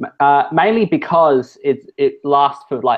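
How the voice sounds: A man at a fairly high pitch, with ordinary pitch variation and a fairly slow pace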